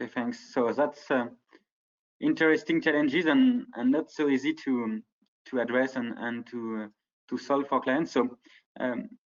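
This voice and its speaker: Speaking with a French accent, a man keeps a medium pitch, ordinary pitch variation and a moderate pace, with long, frequent pauses. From France. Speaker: ad tech partnerships director. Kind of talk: conference presentation. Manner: hesitant, many fillers.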